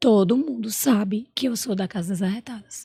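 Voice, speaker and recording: A woman's fairly high, somewhat breathy voice with a dark, mellow tone, ordinary pitch variation and a moderate pace. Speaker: entrepreneur and emotional intelligence specialist. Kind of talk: podcast interview.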